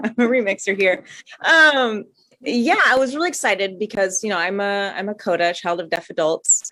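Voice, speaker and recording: A woman speaks with lively intonation and a bright, sharp tone. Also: medium pitch for a woman, moderate pace. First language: American Sign Language. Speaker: choreographer. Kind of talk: panel discussion.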